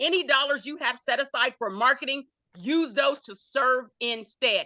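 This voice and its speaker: A woman speaks in a raised, projected voice with a bright, sharp, animated tone, high pitch and ordinary pitch variation. Her loudness swings widely at a moderate pace. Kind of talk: panel talk.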